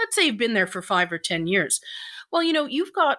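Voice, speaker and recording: Captured in a very clean recording with a silent background, a woman with an Irish accent has a bright, sharp tone. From Ireland. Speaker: editor and communications consultant. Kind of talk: casual interview.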